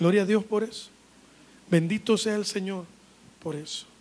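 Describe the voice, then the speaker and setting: A man's voice, high in pitch. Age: 20s. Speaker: pastor. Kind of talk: sermon. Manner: animated.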